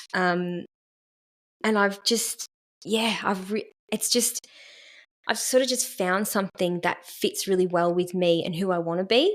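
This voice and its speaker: A woman with an Australian accent, fairly slow with long, frequent pauses, on a very clean recording with a silent background and a dry, close sound with no echo. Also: medium pitch for a woman, fairly even intonation. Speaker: therapist in training. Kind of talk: casual podcast conversation.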